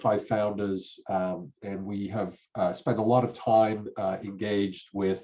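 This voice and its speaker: The man's voice sits fairly low. He delivers every line in a flat monotone. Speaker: computer science professor and tech company CEO. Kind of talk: conference presentation. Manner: halting, many fillers.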